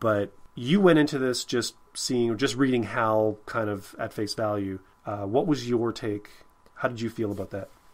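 At a moderate pace, a man speaks with medium pitch for a man and ordinary pitch variation.

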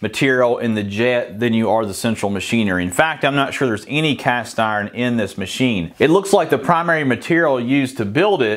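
Against a quiet background, a man talks at a fairly quick pace with hardly any pauses. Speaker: woodworking channel host. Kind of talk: tool review commentary. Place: workshop.

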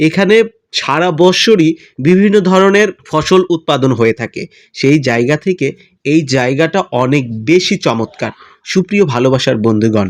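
The sound is dry and close with no echo against a quiet background. A man with a fairly high pitch speaks in an animated tone with lively intonation. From Bangladesh, Tangail district. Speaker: vlogger. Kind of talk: casual vlog monologue.

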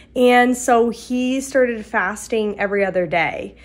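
A woman is speaking. Her pitch is high. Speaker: mom vlogger. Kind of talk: casual vlog chat. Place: home room. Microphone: phone near.

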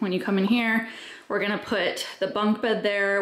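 A woman speaks with audible echo from the room around her. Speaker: homeowner vlogger. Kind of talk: casual vlog chat. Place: home room. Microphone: phone near.

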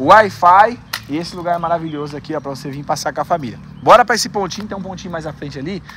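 Over light background noise, a man speaks at a very fast pace and high pitch, with ordinary pitch variation and a dry sound with no echo. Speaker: travel vlogger. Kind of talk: casual vlog chat. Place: street. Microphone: phone near.

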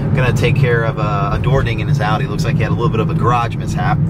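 Loud background noise around a dry sound with no echo. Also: man. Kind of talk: casual vlog chat. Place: car.

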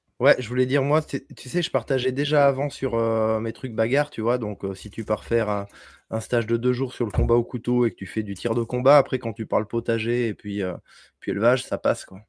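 A man with an ordinary speaking voice talks at a fairly quick pace and medium pitch, with fairly even intonation. The sound is dry with no echo, over a quiet background. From France, Bordeaux; France. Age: 40s. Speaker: homesteading content creator. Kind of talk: casual chat. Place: home room. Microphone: studio mic.

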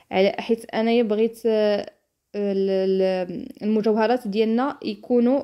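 With a Moroccan accent, a woman speaks with fairly high pitch and fairly even intonation. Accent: Moroccan Darija. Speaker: lifestyle vlogger. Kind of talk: tutorial. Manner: halting.

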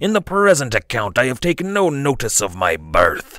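A put-on character voice with very wide pitch swings, delivered at a moderate pace. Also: man, fairly high pitch for a man. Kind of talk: gruff.

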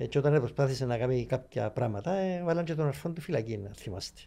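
Moderately paced speech comes with a dark, mellow tone and lively intonation. The speaker has a Cypriot accent. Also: man. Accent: Cypriot Greek. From Cyprus. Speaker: author and journalist; journalist. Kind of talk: interview. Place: studio. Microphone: studio mic.

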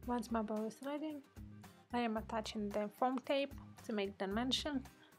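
Music plays in the background. The speech moves at a moderate pace with ordinary pitch variation. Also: woman, fairly high pitch for a woman. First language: not English. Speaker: card-making hobbyist. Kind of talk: casual craft tutorial voice-over. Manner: unscripted, conversational.

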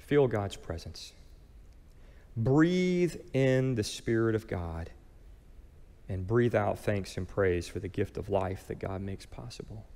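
A man speaks at a very slow pace with long, frequent pauses, his fairly low voice warm in tone, dark and mellow, carrying an American accent and very wide pitch swings. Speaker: pastor. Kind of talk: sermon. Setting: church. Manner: calm, gentle, guiding, meditative pace during the prayer exercise; warm, earnest, conversational preacher. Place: church. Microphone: headset.

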